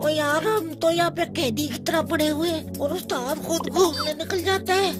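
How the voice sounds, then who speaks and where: A cartoonish character voice at a moderate pace over loud music in the background. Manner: naive, simple.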